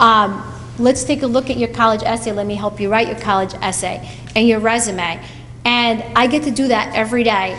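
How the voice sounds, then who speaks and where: At a moderate pace, a woman with a fairly high pitch speaks with fairly even intonation over noticeable background noise and audible room echo. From Portugal. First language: Portuguese. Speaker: college advisor. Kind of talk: speech to students at school event.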